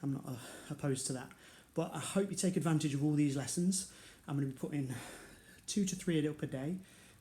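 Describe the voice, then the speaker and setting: Speaking with a British accent at a very fast pace, a man has a fairly high pitch, a somewhat breathy, dark, mellow tone and long, frequent pauses. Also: ordinary pitch variation. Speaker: karate instructor. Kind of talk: online exercise class instruction. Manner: quieter than usual.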